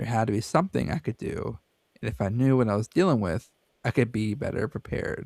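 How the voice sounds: Quiet background behind a natural reading voice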